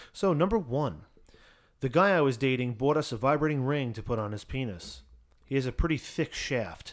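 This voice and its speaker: A man talks at a moderate pace with lively intonation. His pitch is medium, and he has a normal speaking voice. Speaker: podcast host. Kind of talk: casual banter, reading aloud listener stories.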